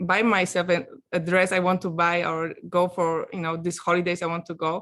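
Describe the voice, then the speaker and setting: A woman with a Polish accent speaks at a fairly low pitch. Her pace is moderate and her intonation monotone and flat. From Poland, small village. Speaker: coaching client giving testimonial, actress. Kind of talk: testimonial interview. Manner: halting, many fillers.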